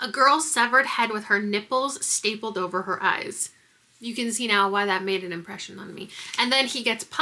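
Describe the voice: This plain reading aloud has ordinary pitch variation.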